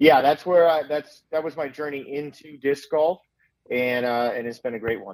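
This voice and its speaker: A man with an American accent has a normal speaking voice and a fairly high pitch, with ordinary pitch variation. His loudness swings a lot. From Southern California. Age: 40s. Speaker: sports performance coach. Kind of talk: casual interview.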